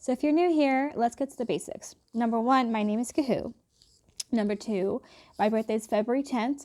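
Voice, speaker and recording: A woman with a slight British accent speaks in a relaxed tone at a fairly quick pace, her voice fairly high yet dark and mellow, with ordinary pitch variation. The recording is very clean and dry, close-miked with a silent background and no echo. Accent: slight British accent on some words. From England and Philadelphia area. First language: Hindi. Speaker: YouTuber. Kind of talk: casual vlog chat.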